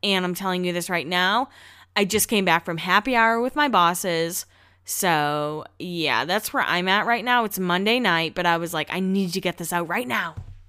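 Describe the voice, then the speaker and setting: An animated woman with an American accent, a bright, sharp tone, medium pitch, ordinary pitch variation and moderate pace, in a very clean recording with a silent background. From Massachusetts. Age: 20s. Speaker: podcast host. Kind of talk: casual monologue.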